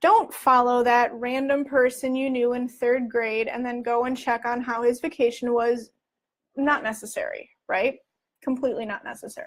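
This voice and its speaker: Her tone is animated and her pitch high as this woman speaks at a moderate pace. The recording is very clean over a silent background. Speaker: spiritual life coach and psychic reader. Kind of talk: live-streamed advice talk. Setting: Facebook live video.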